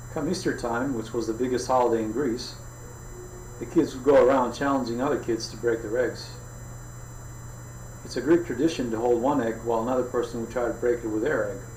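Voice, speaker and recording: Music plays in the background as a man speaks at a fairly quick pace. He leaves long, frequent pauses. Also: medium pitch for a man, fairly even intonation. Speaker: author. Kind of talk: audiobook reading.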